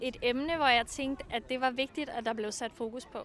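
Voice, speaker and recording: A raised, projected voice with ordinary pitch variation carries over noticeable background noise. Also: woman. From Funen, Denmark. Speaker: student radio host and author. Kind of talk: casual chat. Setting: outdoors.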